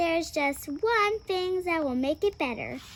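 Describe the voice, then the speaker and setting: A woman puts on a squeaky character voice at an extremely high pitch. Background noise is clearly audible. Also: moderate pace. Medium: read story. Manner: sweet, cheerful.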